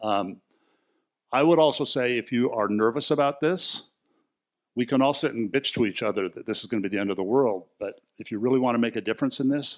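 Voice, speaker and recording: A man's medium-pitched voice at a fairly quick pace, with ordinary pitch variation, on a very clean recording with a silent background. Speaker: themed entertainment designer. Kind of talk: conference panel talk. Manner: fast.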